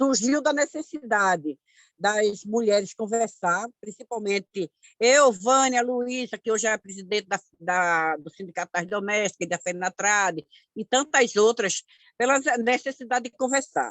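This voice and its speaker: A woman with a normal speaking voice, fairly high in pitch, using lively intonation at a fairly slow pace. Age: 60s. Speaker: community activist. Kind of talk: online course talk.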